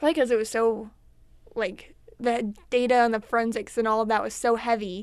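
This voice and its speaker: Speaking quickly enough, a woman with a normal speaking voice and fairly high pitch keeps a fairly even intonation on a very clean recording with a silent background. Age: 20s. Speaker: college student. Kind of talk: casual chat.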